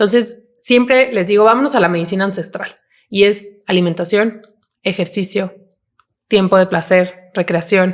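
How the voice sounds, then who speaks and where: A plain, everyday voice with fairly even intonation, moving at a fairly slow pace. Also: woman. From Mexico, León. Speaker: psychiatrist. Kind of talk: podcast interview.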